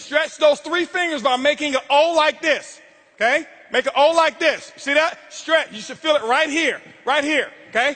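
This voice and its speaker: In an American accent, a man with an extremely high pitch uses a raised, projected voice at a moderate pace, his tone intense, animated, bright and sharp. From Florida, Tampa. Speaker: motivational speaker. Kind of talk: motivational speech. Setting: stage with audience. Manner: loud, yelling.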